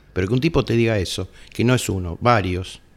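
A man speaks at a medium pitch with a Rioplatense accent. His intonation is lively. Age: 60s. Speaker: heavy metal musician. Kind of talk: casual interview.

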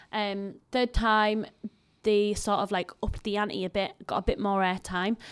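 A woman's medium-pitched voice, monotone and flat, at a fairly slow pace. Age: 30s. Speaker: tea house owner. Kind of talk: casual chat.

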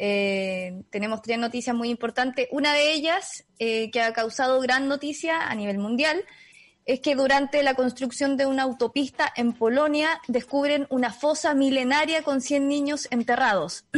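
Speaking in a Chilean accent, a woman uses a high pitch at a fairly slow pace. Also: ordinary pitch variation. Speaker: podcast co-host. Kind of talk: news reading.

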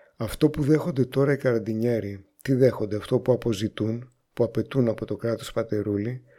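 At a moderate pace, the voice has a dark, mellow tone and ordinary pitch variation in a very clean recording with a silent background. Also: man. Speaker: radio host. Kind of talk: scripted narration.

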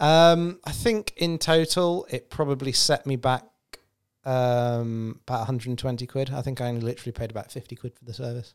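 In an ordinary speaking voice, a man talks at a fairly quick pace with big swings in loudness. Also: medium pitch for a man, ordinary pitch variation. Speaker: podcast contributor, watch enthusiast. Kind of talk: casual chat.

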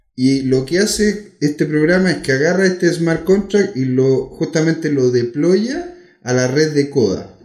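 A man with an ordinary speaking voice talks at a fairly slow pace, his loudness very even. His intonation is lively and he leaves hardly any pauses. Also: fairly high pitch for a man. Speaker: podcast host. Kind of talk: casual interview.

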